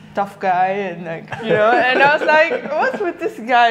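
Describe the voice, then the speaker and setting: Fairly high-pitched woman with lively intonation, a fairly slow pace, and noticeable background noise. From Netherlands. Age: 20s. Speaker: project manager. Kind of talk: interview.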